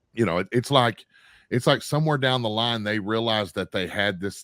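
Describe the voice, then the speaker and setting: Recorded very cleanly against a silent background, with a dry, close sound and no echo, a man with an American accent speaks with ordinary pitch variation. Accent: country accent in casual talk. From Arkansas, US South. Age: 50s. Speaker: radio network producer. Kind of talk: casual interview chat. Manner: relaxed, halting with many fillers.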